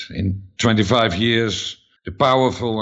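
A man with a Dutch accent. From Netherlands. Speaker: author. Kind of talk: interview.

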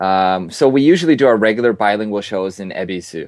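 Against a quiet background, a man with an American accent talks at a fairly quick pace in a plain, everyday voice, fairly low in pitch with ordinary pitch variation. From Minnesota, US Midwest. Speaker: improv comedy troupe founder. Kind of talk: casual interview.

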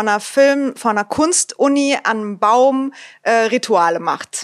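A woman talks at a very slow pace in a high pitch with ordinary pitch variation. The sound is dry and close, with no echo. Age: 20s. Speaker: filmmaker and actress. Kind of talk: casual game show chat.

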